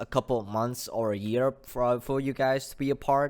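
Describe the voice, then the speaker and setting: In a very clean recording with a silent background, a man talks at medium pitch and a moderate pace in a monotone, flat intonation. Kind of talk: casual talk to camera. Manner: stuttering.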